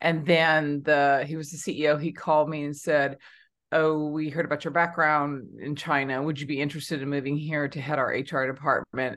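A woman's very deep, low voice with a Californian accent, fairly quick and monotone, against a quiet background. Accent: Californian American. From Southern California. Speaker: HR consultant and author. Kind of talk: interview.

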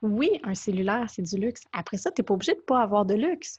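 Against a quiet background, a woman speaks with a fairly high pitch and a somewhat breathy quality. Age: 30s. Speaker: blogger and author. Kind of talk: interview.

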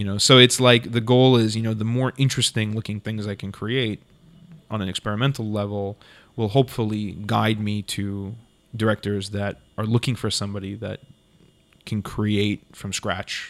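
In a very clean recording with a silent background, a man with a plain, everyday voice talks at a moderate pace with fairly low pitch and fairly even intonation. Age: 30s. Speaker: cinematographer. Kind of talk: casual chat.

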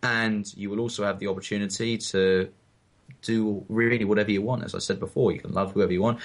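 In an English accent, a man talks in a fairly low pitch with fairly even intonation. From England. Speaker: podcast co-host. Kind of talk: casual chat.

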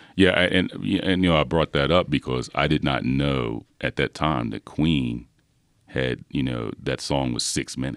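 With an American accent, a man speaks at a moderate pace in a very deep, low pitch with vocal fry and ordinary pitch variation, the sound dry and close with no echo. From Philadelphia, US. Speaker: professor. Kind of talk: casual chat. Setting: studio. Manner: halting.

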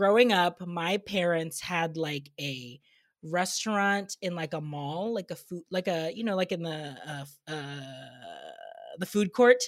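A woman with an unremarkable speaking voice talks at a fairly slow pace and a fairly low pitch, with ordinary pitch variation. Her loudness swings widely, on a very clean recording with a silent background. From immigrant family, grew up in US. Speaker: podcast host and food content creator. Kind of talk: casual chat. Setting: video recording, dressed up on camera.

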